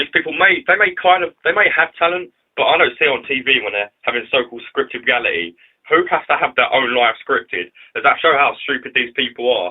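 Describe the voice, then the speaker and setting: Talking at a fairly quick pace, a man speaks with a London accent. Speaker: YouTube vlogger. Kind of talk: casual vlog commentary. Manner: casual, filler-heavy.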